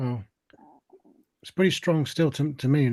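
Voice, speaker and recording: Somewhat breathy, a man speaks at a moderate pace. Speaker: live streamer. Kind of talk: casual chat. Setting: live stream panel, camera off.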